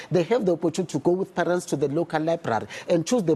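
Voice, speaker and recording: A man with a Zulu accent at a fairly high pitch. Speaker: literacy campaign spokesperson. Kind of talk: TV news interview.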